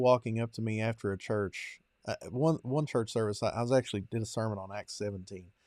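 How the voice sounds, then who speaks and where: Delivered at a moderate pace with fairly even intonation and a strong Kentucky accent, the voice sits dry and close with no echo in a very clean recording over a silent background. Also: man. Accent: strong rural Kentucky. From eastern Kentucky, US. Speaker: podcast host and preacher. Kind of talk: interview conversation.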